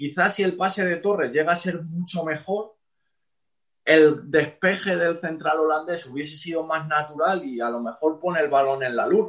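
Speaking at a moderate pace, a man with an unremarkable speaking voice uses a fairly high pitch and ordinary pitch variation. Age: 30s. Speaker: football coach. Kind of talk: interview.

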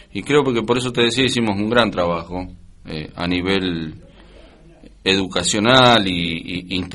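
Through audible room echo, a man with a very deep, low pitch and a bright, sharp tone speaks with ordinary pitch variation. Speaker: war veteran. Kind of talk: interview. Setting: studio.

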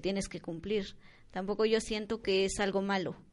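Medium-pitched speech from a woman over a quiet background. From Mexico, Oaxaca (Mixe region). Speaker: community centre volunteer. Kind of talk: interview.

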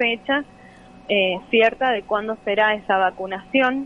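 Woman, fairly high pitch, moderate pace, ordinary pitch variation. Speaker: teacher union activist. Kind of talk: interview. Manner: hesitant, many fillers.

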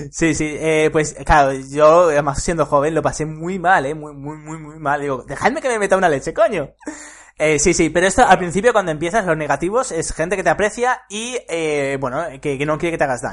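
A man speaks at a fairly quick pace in a fairly high pitch with ordinary pitch variation. His loudness swings a lot. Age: 20s. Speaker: podcast host, entrepreneur. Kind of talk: casual chat.

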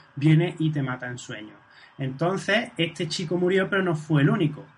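At a moderate pace, a man talks in a fairly high voice, an ordinary speaking voice. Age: 40s. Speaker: podcast host. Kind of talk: casual chat.

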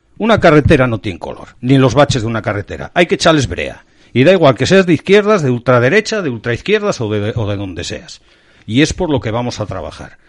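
Against a quiet background, a medium-pitched man talks at a fairly quick pace with very wide pitch swings. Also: big swings in loudness. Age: 50s. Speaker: local political activist. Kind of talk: interview.

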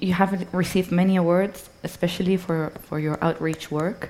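The woman's pitch is fairly low and her intonation fairly even. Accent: Spanish. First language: Spanish. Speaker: culture and sustainability expert, moderator. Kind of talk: onstage interview. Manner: hesitant, many fillers.

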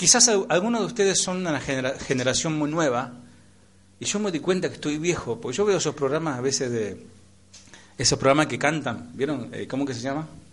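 A man speaks fairly quickly while audible room echo hangs around his words. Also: fairly high pitch for a man, lively intonation. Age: 40s. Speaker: pastor. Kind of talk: sermon. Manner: animated.

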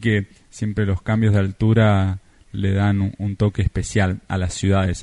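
In a Rioplatense accent, a man with a fairly low pitch and a dark, mellow tone speaks at a fairly slow pace in a monotone, flat intonation against a quiet background. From Argentina. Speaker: travel podcaster and writer. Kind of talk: recorded travel account.

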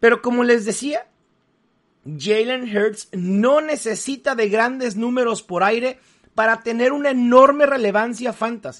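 A man speaks at a fairly slow pace. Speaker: fantasy football analyst. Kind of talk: solo podcast analysis.

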